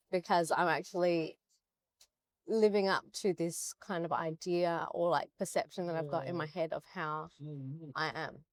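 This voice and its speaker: On a very clean recording with a silent background, a woman with an ordinary speaking voice and a fairly low pitch talks at a moderate pace with fairly even intonation. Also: dry, close sound with no echo. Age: 30s. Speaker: bikini bodybuilding competitor. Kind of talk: interview conversation.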